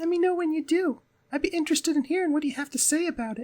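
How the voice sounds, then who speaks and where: A man uses a put-on character voice at an extremely high pitch, and it sounds squeaky. He talks at a very fast pace. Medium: game stream. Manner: polite, curious, warm.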